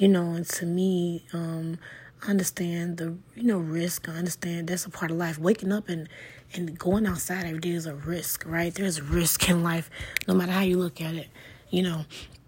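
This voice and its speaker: Flat, monotone speech from a woman at a fairly low pitch and moderate pace, over noticeable background noise. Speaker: podcast host. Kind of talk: solo motivational monologue. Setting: home living room.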